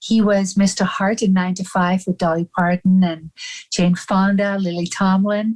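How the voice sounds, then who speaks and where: A woman's somewhat breathy, monotone voice with flat intonation at a moderate pace. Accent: strong Dutch. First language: Dutch. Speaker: actor and personal assistant. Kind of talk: casual interview chat.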